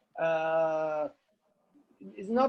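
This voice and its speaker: A man talks with an Italian accent. His pitch varies in an ordinary way. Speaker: novelist. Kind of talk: panel discussion. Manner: halting, many repetitions and fillers.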